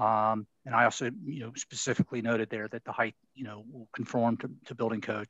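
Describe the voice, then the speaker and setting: Over a quiet background, a man with a Baltimore accent talks at a fairly quick pace and medium pitch. The sound is dry and close with no echo. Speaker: city preservation staff planner. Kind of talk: public board meeting discussion. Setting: video call webinar. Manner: halting, many fillers.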